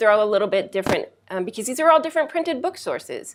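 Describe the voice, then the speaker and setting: This is a woman's voice. Her pitch is fairly high. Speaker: librarian. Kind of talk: library instruction presentation to a class. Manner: fast.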